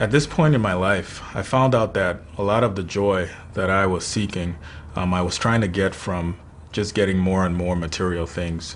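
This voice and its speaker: A man talks at a moderate pace with a very deep, low pitch and ordinary pitch variation. Audible room echo surrounds his voice. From Nigeria. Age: 20s. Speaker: sales manager. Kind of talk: personal testimony. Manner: hesitant, many fillers.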